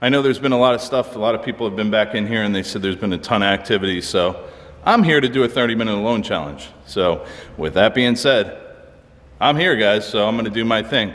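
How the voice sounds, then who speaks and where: At a very fast pace, a man speaks with ordinary pitch variation. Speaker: paranormal explorer vlogger. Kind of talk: casual vlog chat. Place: hall. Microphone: phone near.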